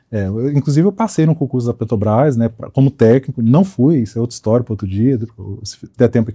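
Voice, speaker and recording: The tone is dark and mellow, somewhat breathy, at a very fast pace. The sound is dry and close, with no echo. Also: man. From Espírito Santo, Brazil. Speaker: accountant. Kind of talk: podcast interview.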